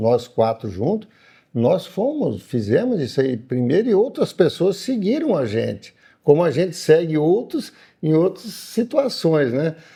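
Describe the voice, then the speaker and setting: Somewhat breathy and dark, mellow in tone, a man speaks at a fairly slow pace with very wide pitch swings against a quiet background. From Paraná, Brazil. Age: 60s. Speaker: farmer and agribusiness owner. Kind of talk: interview.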